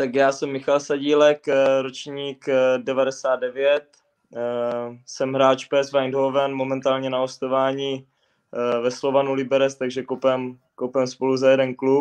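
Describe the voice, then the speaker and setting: At a very slow pace, a man talks in a medium pitch with monotone, flat intonation. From Moravia, Czechia. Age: 20s. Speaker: footballer. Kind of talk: interview. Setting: video call from home. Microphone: bad signal, lag.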